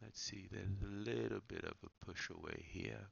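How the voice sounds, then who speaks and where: A man is speaking. His voice has vocal fry. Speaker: trading analyst. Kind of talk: tutorial. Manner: hesitant, many filler words.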